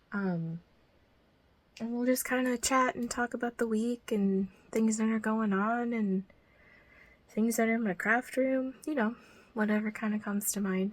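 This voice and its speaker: A somewhat breathy woman's voice, fairly high in pitch, with ordinary pitch variation. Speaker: crafting YouTuber. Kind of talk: casual chat while tidying. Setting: home craft room. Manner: casual, many fillers; soft-spoken, quiet.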